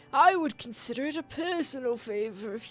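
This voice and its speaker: In a put-on character voice pitched extremely high, a man speaks at a moderate pace while faint music plays in the background. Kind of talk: formal, courtly.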